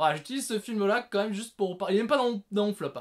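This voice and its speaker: Loud and animated, a man is speaking. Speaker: film reviewer, video creator. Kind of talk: casual monologue, top-list film review. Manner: animated, loud.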